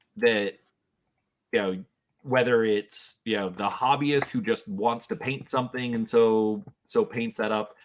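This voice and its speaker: A man talks at a fairly slow pace in a medium pitch, with fairly even intonation. It is a plain, everyday voice. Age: 40s. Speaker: gaming channel host. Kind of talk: casual chat.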